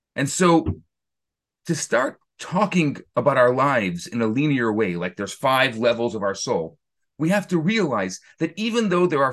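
This man's voice sits fairly high for a man, swinging very widely in pitch with audible vocal fry. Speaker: rabbi teaching a class. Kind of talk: interactive lecture. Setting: video call.

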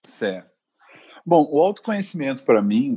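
At a moderate pace, a man with a dark, mellow tone speaks with very wide pitch swings. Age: 20s. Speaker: advertising professional. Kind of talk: casual chat.

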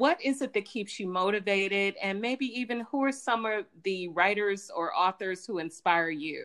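A woman's unremarkable speaking voice at medium pitch, with ordinary pitch variation, a moderate pace and hardly any pauses. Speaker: podcast host. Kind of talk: interview.

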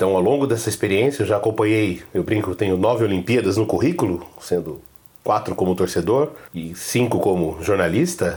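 A man's fairly low, somewhat breathy voice moves at a fairly quick pace with lively intonation. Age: 40s. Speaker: podcast host, journalist and university lecturer. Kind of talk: podcast introduction monologue.

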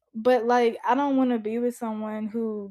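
With an unremarkable speaking voice, a woman talks fairly slowly at a fairly high pitch with fairly even intonation, in a very clean recording with a silent background. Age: 20s. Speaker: podcast host. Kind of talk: solo podcast monologue. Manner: casual, many filler ums.

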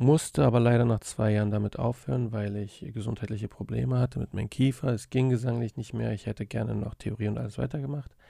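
A man speaks at a very fast pace with hardly any pauses. His intonation is fairly even, and the sound is dry and close with no echo. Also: medium pitch for a man. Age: 30s. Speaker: podcast host and musician. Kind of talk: casual monologue. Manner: hesitant, many fillers. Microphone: studio dynamic mic.

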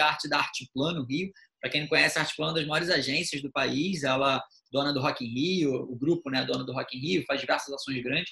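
A man talks with an ordinary speaking voice. It is fairly high, and the pitch varies in an ordinary way. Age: 30s. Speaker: event producer and marketer. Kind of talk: podcast interview.

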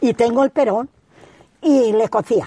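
With a dark, mellow tone, a woman speaks at a moderate pace in a dry, close sound with no echo. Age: 80s+. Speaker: retired rural villager. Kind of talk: oral history interview.

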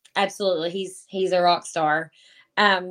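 A medium-pitched woman with a Kentucky accent, in a dry, close sound with no echo. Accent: Southern US (Kentucky). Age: 30s. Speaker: online marketer with a full-time job. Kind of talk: interview. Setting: home office, remote call.

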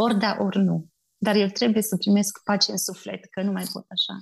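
This woman's voice is somewhat breathy and medium in pitch. She talks at a moderate pace. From Romania, Bistrița. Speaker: missionary. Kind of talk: interview testimony.

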